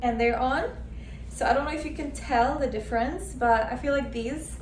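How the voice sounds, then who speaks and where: Over music in the background, a woman speaks with audible room echo. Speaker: fashion vlogger. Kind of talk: casual try-on haul chat. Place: home room. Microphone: camera far.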